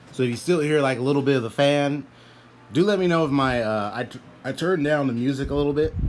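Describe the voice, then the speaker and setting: Over background music, a man speaks at a fairly quick pace. His pitch sits in the medium range with ordinary variation. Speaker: gaming streamer. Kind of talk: casual chat. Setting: live stream.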